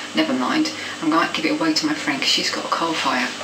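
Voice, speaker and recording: A woman talking at a very fast pace amid noticeable background noise. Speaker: home vlogger. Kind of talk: casual vlog chat. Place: home room. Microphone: webcam.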